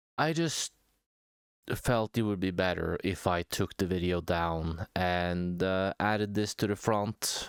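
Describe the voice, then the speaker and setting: At a fairly slow pace and with ordinary pitch variation, the speaker uses a non-native accent on a very clean recording with a silent background. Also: man. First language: not English. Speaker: small YouTube commentator. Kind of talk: casual vlog monologue. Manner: hesitant, many fillers.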